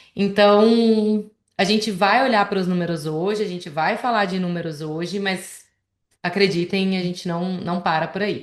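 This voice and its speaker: A woman speaks with a Goiânia accent at medium pitch. Her pace is moderate and her intonation fairly even. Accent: Goiânia accent, noticeable. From Goiás, central Brazil (Goiânia). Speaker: financial planner. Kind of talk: presentation in a conversation.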